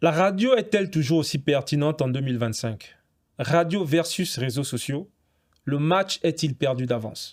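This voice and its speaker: A man talks at a fairly slow pace in a normal speaking voice, fairly high-pitched, with lively intonation, on a very clean recording with a silent background. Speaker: podcast host. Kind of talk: podcast interview questions.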